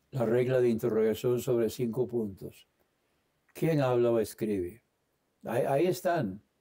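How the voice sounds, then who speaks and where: A man speaks with an English accent. His tone is dark and mellow, and his pace is fairly slow. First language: English (speaking Spanish). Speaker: Bible teacher. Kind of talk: Bible study lesson. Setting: online livestream. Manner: hesitant, many fillers.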